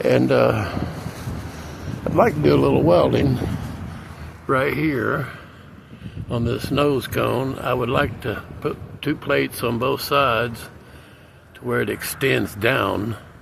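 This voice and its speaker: A man's relaxed tone at a very slow pace, long, frequent pauses, audible room echo and noticeable background noise. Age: 60s. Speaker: DIY repair vlogger. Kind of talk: casual how-to vlog. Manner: relaxed, frequent filler uh.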